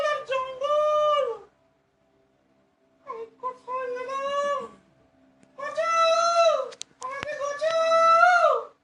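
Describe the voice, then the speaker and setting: An extremely high-pitched voice puts on a character. The delivery is very slow. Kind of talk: comic ventriloquist stage play. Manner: exaggerated, comic.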